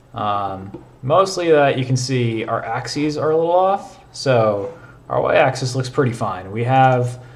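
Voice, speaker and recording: With audible room echo, a man speaks at a medium pitch with lively intonation. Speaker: programming streamer. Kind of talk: live coding stream. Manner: casual, filler-heavy.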